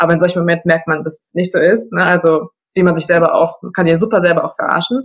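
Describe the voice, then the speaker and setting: Very fast, somewhat breathy speech from a woman at fairly low pitch, with fairly even intonation and big swings in loudness. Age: 20s. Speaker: coaching client, customer service manager. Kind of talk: casual interview.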